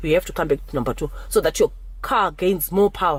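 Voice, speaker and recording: A woman talks with noticeable background noise. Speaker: driving instructor vlogger. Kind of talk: tutorial. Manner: halting.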